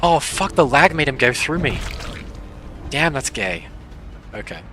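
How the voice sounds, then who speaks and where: Music plays in the background as a man speaks with an Australian accent at a fairly slow pace. His pitch is fairly high and his intonation lively. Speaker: gaming streamer. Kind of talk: casual live stream commentary. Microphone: quiet audio.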